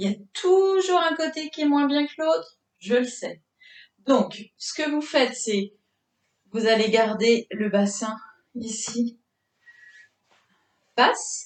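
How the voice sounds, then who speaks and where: A high-pitched woman's voice at a very slow pace, full of very wide pitch swings. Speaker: fitness instructor. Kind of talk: exercise class instruction. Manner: halting.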